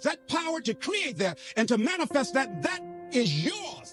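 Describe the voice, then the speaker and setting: Against music in the background, a man with an extremely high pitch makes very wide pitch swings. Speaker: motivational speaker. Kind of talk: motivational speech. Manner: emphatic, repetitive.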